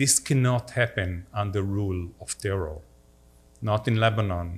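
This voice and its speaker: In a very clean recording with a silent background, a man with a fairly low pitch and a somewhat breathy voice speaks at a moderate pace. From Israel, upper Galilee (Safed). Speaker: diplomat. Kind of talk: talk with audience Q&A. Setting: synagogue hall with audience, livestreamed.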